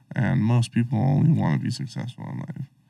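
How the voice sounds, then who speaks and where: An unremarkable speaking voice with an American accent moves along at a moderate pace. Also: man. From Colorado. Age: 20s. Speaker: rapper and musician. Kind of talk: casual chat. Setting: studio.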